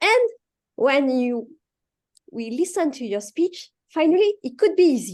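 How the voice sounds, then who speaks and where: Speaking in a French accent at a fairly slow pace, the voice swings widely in pitch and sharply in loudness, broken by long, frequent pauses. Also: woman, high pitch for a woman. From France. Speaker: speech evaluator. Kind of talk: speech evaluation. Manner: halting.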